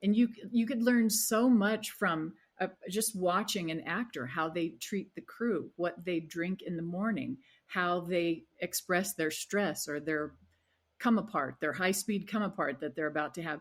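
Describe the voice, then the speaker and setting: At a fairly slow pace, a woman speaks with a medium pitch and ordinary pitch variation. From US Southwest, Arizona. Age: 60s. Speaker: wellness coach. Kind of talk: interview conversation. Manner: halting.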